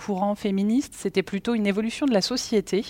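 Recorded very cleanly against a silent background, with a dry, close sound and no echo, a woman talks at a very fast pace in a fairly high pitch with ordinary pitch variation. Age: 40s. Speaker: company executive. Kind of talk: interview. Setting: on-site at company offices.

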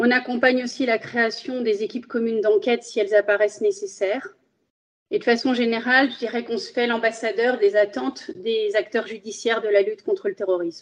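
Speech moves at a fairly quick clip. The pitch rises and falls in an ordinary way. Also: woman, fairly high pitch for a woman. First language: Spanish (speaking French). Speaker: magistrate. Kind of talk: interview. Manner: formal.

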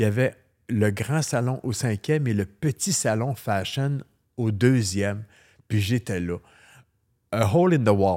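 A fairly low-pitched male voice with a dark, mellow tone on a very clean recording with a silent background. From Quebec. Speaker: hairdresser. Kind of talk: interview.

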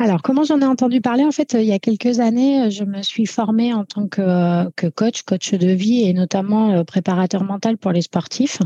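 A woman speaks at a fairly slow pace with hardly any pauses, her fairly high pitch showing ordinary variation. Her tone is dark and mellow and somewhat breathy, in a dry, close sound with no echo over a quiet background. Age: 40s. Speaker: firefighter. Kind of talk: interview. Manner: halting.

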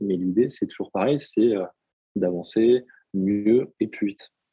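The man's fairly low pitch shows ordinary variation as he speaks at a moderate pace. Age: 30s. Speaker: personal development coach. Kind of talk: podcast interview.

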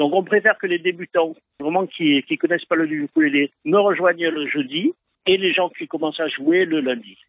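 Speaking at a moderate pace, a man has a high-pitched voice. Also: fairly even intonation. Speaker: ukulele club founder. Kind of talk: phone interview. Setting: phone call. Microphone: phone-quality sound.

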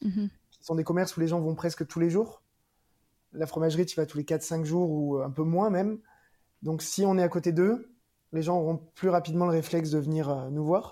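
A man with a dark, mellow tone and high pitch speaks at a moderate pace with long, frequent pauses, fairly even intonation and big swings in loudness. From Provence, near Marseille. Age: 40s. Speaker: cheesemonger, shop owner. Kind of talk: interview. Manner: cheerful.

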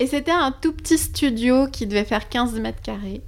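A woman with vocal fry speaks at a fairly high pitch with ordinary pitch variation. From Switzerland. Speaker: psychic medium and former travel agent. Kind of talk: casual chat.

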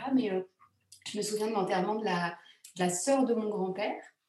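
A woman speaks with audible echo in the room. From France, Grenoble. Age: 40s. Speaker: secular funeral celebrant, former theatre actress. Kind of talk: casual interview. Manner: hesitant, many fillers.

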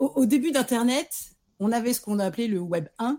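A woman's tone is dark and mellow, somewhat breathy. Her pitch swings very widely. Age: 40s. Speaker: freelance marketing director. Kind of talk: casual interview.

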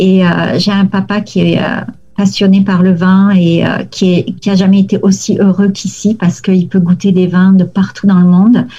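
Noticeable background noise runs under a woman's medium-pitched voice at a moderate pace. Her intonation is monotone and flat, and her loudness is very even. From southern France, near Toulouse. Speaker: lawyer. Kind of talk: interview.

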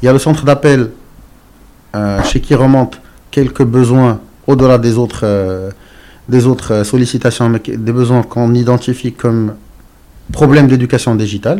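A man's dark, mellow voice with fairly even intonation and long, frequent pauses. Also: medium pitch for a man, moderate pace. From Morocco. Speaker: entrepreneur. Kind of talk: interview. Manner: halting.

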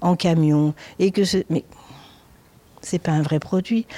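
A woman's dark, mellow voice at a fairly slow pace. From southern France (countryside near Nice). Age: 60s. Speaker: restaurant chef. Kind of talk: interview.

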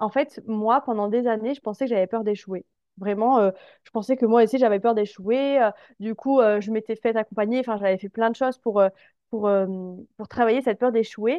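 Her voice is fairly high, with fairly even intonation and a moderate pace. This woman has an unremarkable speaking voice. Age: 20s. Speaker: confidence coach. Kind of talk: casual interview chat.

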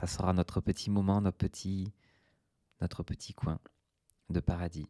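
Soft-spoken and very deep, a man's low, dark, mellow voice comes through with long, frequent pauses on a very clean recording with a silent background. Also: dry, close sound with no echo. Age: 30s. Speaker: podcast host. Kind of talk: relaxed solo monologue. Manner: slow.

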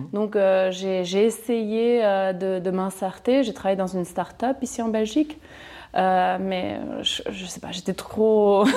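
A woman speaks very slowly at a medium pitch with ordinary pitch variation. Her tone is dark and mellow. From Chile. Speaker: property investor. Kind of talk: interview. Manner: halting.

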